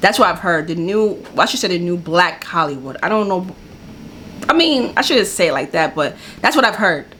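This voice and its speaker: A medium-pitched woman with an American accent, fairly quick pace and lively intonation, over noticeable background noise. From New York. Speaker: YouTube reaction video host. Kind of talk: casual reaction commentary.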